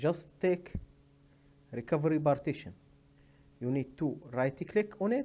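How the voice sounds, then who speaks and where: This man has a dark, mellow tone and a non-native accent. His pitch varies in an ordinary way. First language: not English. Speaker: tech tutorial maker. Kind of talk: tutorial. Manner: halting, many hesitations.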